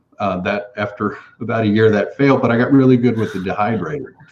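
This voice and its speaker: A man with a Texan accent talks at a fairly quick pace. His fairly low voice keeps fairly even intonation. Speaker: food company founder. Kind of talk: interview.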